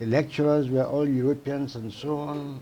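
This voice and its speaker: A man's dark, mellow, fairly high voice with a Sierra Leonean accent, monotone, flat intonation and a moderate pace. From Sierra Leone, Port Loko. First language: Temne. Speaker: psychiatrist. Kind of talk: interview.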